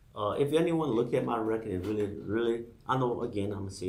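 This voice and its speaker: A somewhat breathy voice with an American accent and audible room echo. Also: man. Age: 60s. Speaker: political candidate. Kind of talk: campaign appeal on radio show.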